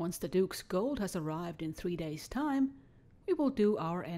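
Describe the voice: The plain reading aloud carries lively intonation.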